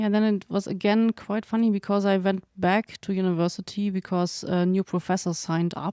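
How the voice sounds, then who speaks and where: A woman's medium-pitched voice with a German accent, dark and mellow in tone, flat and monotone in intonation, at a fairly quick pace with hardly any pauses and very even loudness, in a dry, close sound with no echo and a very clean recording with a silent background. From Germany. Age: young. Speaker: veterinarian and farrier researcher. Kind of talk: interview conversation. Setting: living room.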